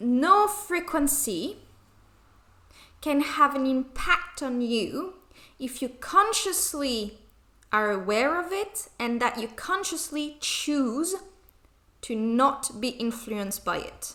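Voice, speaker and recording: A woman with a non-native accent projects a high, raised voice very slowly, with very wide pitch swings and long, frequent pauses. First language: non-native English speaker. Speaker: spiritual channeler. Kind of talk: channeled spiritual message. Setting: home recording, poor sound.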